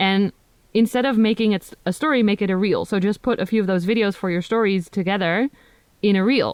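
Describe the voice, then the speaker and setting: A woman with a Dutch accent at a fairly quick pace, medium pitch and ordinary pitch variation, with a dry, close sound and no echo. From Netherlands. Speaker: plant content creator. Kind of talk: casual chat.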